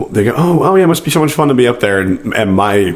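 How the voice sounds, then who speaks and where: Lively intonation marks a man speaking at a fairly quick pace amid noticeable background noise. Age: 20s. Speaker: amateur choral singer. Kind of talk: casual podcast conversation.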